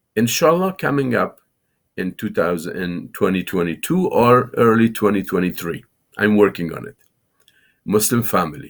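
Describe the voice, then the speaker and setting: With an Afghan accent, a man talks at a moderate pace in a fairly low pitch, his intonation lively. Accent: Afghan Dari accent in English. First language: Farsi. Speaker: Islamic scholar and TV show host. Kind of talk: lecture. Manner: halting.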